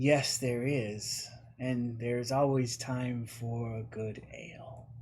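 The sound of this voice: A man does a put-on character voice at a medium pitch, monotone and flat. He speaks at a very slow pace with audible echo.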